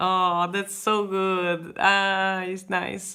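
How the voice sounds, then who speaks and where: A woman is speaking. She has a Hungarian accent. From Hungary. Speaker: artist. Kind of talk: casual chat. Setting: live stream. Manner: halting.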